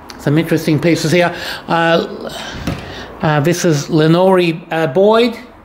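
In an Australian accent, someone speaks at a fairly slow pace over light background noise. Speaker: auctioneer giving a walkthrough. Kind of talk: solo video walkthrough of auction lots, informal sales pitch. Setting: walking through auction room, recorded on camera. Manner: brisk, casual, list-like patter with short fragments; halting, with frequent 'uh' fillers while walking. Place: shop. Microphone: phone near.

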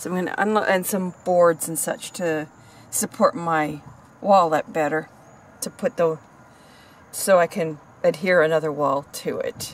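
In dry sound with no echo, a woman with a fairly low pitch and ordinary pitch variation speaks at a fairly slow pace, pausing long and often. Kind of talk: casual vlog chat. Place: car. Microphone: phone near.

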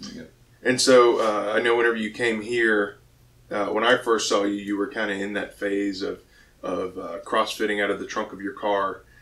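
A man at a fairly low pitch, moderate pace and monotone, flat intonation. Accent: American. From Pensacola, Florida; Florida. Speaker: weightlifting coach and gym owner; weightlifting coach. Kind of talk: casual chat. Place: gym. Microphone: studio mic.

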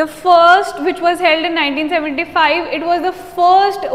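A woman is speaking. Her pace is very slow. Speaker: teacher. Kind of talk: lecture. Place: classroom. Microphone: lapel.

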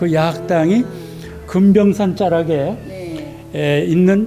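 Clear music plays in the background while a man speaks at a fairly high pitch. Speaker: literary museum guide. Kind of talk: interview answer. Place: hall. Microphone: handheld.

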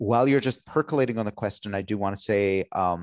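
Speaking at a fairly quick pace, a man with an unremarkable speaking voice has a fairly low pitch and ordinary pitch variation, recorded dry and close with no echo against a quiet background. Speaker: event organizer. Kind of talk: event moderation. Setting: video call.

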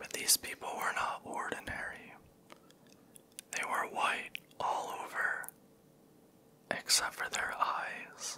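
A man whispers softly at a very slow pace, with long and frequent pauses over light background noise. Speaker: storyteller. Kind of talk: soft-spoken storytelling reading. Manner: close soft ASMR whisper, storytelling. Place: home room. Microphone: handheld.

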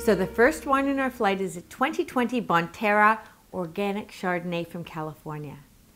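A woman talks with lively intonation, keeping a moderate pace. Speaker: wine critic host. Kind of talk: tutorial. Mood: warm, cheerful. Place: home room. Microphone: lapel.

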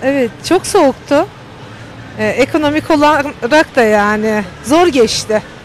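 Speaking at a very slow pace, a woman with a high pitch uses lively intonation amid noticeable background noise. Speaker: street interviewee. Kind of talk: street interview. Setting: outdoors.

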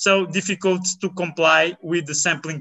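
Against a quiet background, a speaker with a Portuguese accent talks at a moderate pace with fairly even intonation. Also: man. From Portugal. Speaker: biologist; presenter. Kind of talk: conference talk. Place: home room.

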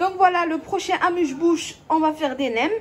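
A woman talks fairly slowly while noticeable background noise is heard behind her. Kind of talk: cooking tutorial. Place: kitchen. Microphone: phone near.

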